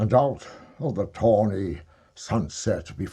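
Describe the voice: The delivery is plain reading aloud. Its pitch varies in an ordinary way.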